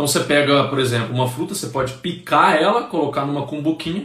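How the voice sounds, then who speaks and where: The speech moves at a very fast pace, with noticeable background noise and audible room echo. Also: man. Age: 30s. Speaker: nutritionist. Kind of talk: live stream talk. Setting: Instagram live stream. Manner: casual, chatty.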